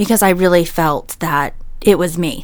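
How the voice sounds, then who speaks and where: A woman with a fairly low pitch speaks in an ordinary speaking voice. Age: 30s. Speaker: salesperson sharing pregnancy loss story. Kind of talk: panel discussion, personal testimony. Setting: studio.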